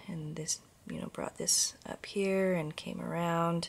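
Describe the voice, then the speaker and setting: Delivered at a fairly slow pace, the speech comes through on a very clean recording with a silent background. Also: woman. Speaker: craft vlogger. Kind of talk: casual show-and-tell vlog. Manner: slow, halting with pauses.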